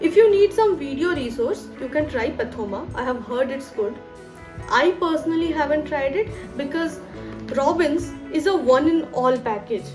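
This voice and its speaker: With music in the background and audible room echo, a woman speaks at a high pitch. Her pace is moderate and her intonation lively. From West Bengal, India. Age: 20s. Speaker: doctor and study YouTuber. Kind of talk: advice video to camera.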